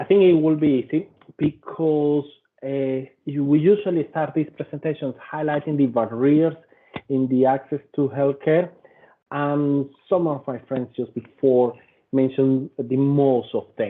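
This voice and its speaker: With a Venezuelan accent, a man speaks at a fairly slow pace. His pitch is fairly high, and his intonation is fairly even. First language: Spanish. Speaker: policy and advocacy officer. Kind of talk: presentation.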